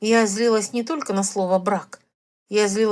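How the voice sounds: A natural reading voice with fairly even intonation and a quiet background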